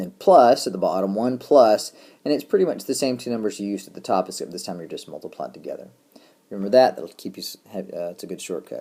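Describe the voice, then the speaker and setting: A man talks at a very fast pace. His loudness swings a lot. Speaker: math teacher. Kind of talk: lecture.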